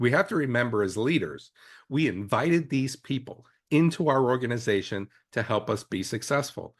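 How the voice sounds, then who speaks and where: A man speaks in an unremarkable speaking voice with lively intonation at a fairly quick pace. The background is quiet. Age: 60s. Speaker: EMS leader and podcast co-host. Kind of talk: casual podcast discussion.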